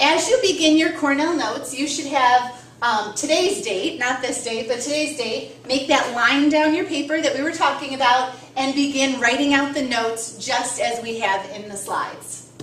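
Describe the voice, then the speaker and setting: A woman with a high pitch and ordinary pitch variation talks at a moderate pace with hardly any pauses, over audible room echo and noticeable background noise. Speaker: biology teacher. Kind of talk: lecture.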